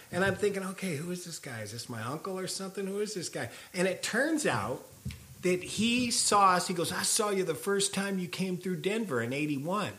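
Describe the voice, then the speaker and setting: A man with an American accent speaks in a raised, projected voice, high-pitched with a bright, sharp tone, lively intonation and a moderate pace. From California. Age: 50s. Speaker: punk rock vocalist. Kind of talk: casual interview conversation. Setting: at his house.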